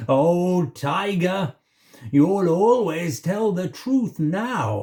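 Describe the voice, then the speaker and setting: A man puts on a character voice, high in pitch. He speaks very slowly. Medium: read story.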